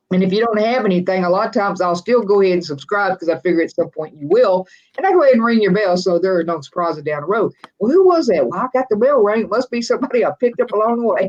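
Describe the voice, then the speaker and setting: Speaking very fast with a West Texas accent, a woman uses lively intonation at a medium pitch. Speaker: RV vlogger and live stream host. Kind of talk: casual live stream chat. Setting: live stream video.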